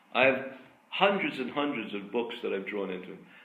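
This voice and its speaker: At a moderate pace and medium pitch, a man talks with audible room echo around him. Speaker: artist and art school founder. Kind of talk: lecture. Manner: halting.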